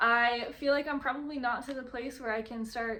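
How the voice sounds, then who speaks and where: A high-pitched woman speaks with fairly even intonation. Audible room echo is present. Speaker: vlogger and podcast host. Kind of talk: casual vlog monologue. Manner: rambling with many fillers.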